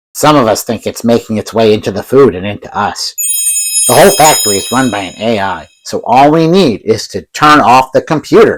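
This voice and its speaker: A man puts on a character voice at a medium pitch. He talks at a fairly quick pace. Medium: short film.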